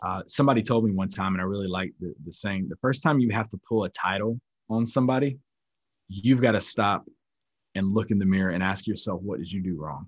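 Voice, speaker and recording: A man with an American accent has an unremarkable speaking voice, pitched fairly low. He talks at a fairly quick pace with ordinary pitch variation. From North Carolina, US South. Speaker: military instructor and trainer. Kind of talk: lecture and teaching.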